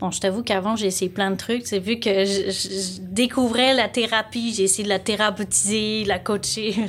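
Flat and monotone in intonation, a woman speaks at medium pitch over noticeable background noise. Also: moderate pace. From France, Lyon. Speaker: life coach. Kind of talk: casual interview.

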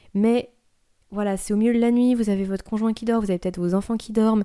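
A woman with a dark, mellow tone is heard on a very clean recording with a silent background. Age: 30s. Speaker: podcast host sharing sleep advice. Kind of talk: solo podcast talk, advice.

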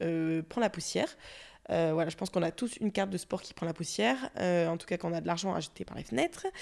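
Her tone is dark and mellow. The woman talks at a fairly quick pace with lively intonation. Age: 20s. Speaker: podcaster and content creator. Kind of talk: solo podcast monologue. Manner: casual, many hesitations.

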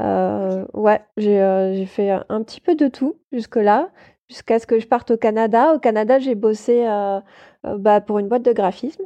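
A woman with a fairly high pitch speaks at a fairly slow pace with ordinary pitch variation and a dark, mellow tone, the sound dry and close with no echo over a quiet background. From France, Toulouse. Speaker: paper artist and illustrator. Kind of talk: casual interview chat. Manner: hesitant, many filler sounds.

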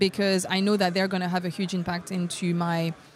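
Her speech is very fast. The woman sounds somewhat breathy. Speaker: software developer advocate. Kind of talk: interview. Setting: tech conference.

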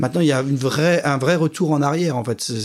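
Man's fairly high-pitched voice with fairly even intonation. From France, Champagne. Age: 40s. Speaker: wine industry executive. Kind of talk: interview. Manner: hesitant, many fillers.

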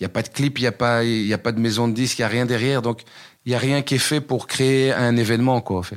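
Very fast talking from a man, the intonation fairly even. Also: medium pitch for a man. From Belgium, Brussels area (Waterloo). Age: 40s. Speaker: rapper and comedian. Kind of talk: casual interview.

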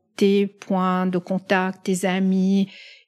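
A woman speaks very slowly at a medium pitch in a very clean recording with a silent background. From Lebanon and the Middle East, Italian family. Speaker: pharmaceutical executive. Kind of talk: interview storytelling. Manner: hesitant, frequent fillers and repetitions.

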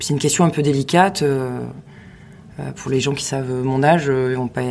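A woman talks at a moderate pace with a very deep, low pitch. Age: 40s. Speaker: sales department manager. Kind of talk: casual interview. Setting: studio tent in Paris.

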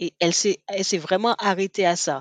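A woman speaks with ordinary pitch variation in a dry, close sound with no echo and a quiet background. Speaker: podcast co-host. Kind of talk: casual chat.

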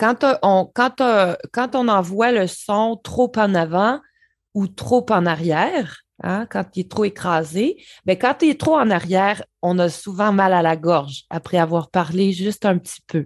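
Speaking very slowly with a slight Quebec accent and lively intonation, the voice comes through dry and close with no echo against a quiet background. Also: woman, medium pitch for a woman. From rural Quebec. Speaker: voice specialist. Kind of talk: interview. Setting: remote call from Montreal.

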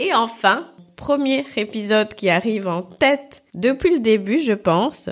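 With lively intonation and a fairly high pitch, a woman speaks very slowly on a very clean recording with a silent background. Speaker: podcast host, customer experience consultant. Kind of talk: solo podcast monologue. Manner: cheerful, laughs often.

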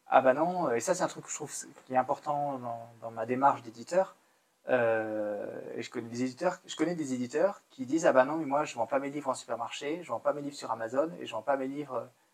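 A normal speaking voice at a moderate pace, with ordinary pitch variation and big swings in loudness. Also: man, medium pitch for a man. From central France (Moulins, Allier, Auvergne). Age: 30s. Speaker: children's book publisher. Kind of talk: casual interview. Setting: livestream on camera.

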